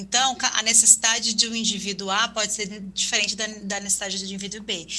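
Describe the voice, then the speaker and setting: Over noticeable background noise, a woman talks at a very fast pace in a fairly high pitch with monotone, flat intonation. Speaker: health ministry official. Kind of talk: webinar panel answer.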